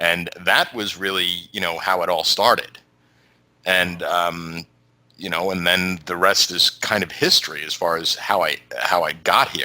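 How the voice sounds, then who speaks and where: A man with a New York accent speaks in a very deep, low pitch. His intonation is monotone and flat, and his pace is fairly slow. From New York City. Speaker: YouTube show host, interview guest. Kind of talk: podcast interview. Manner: halting, many fillers.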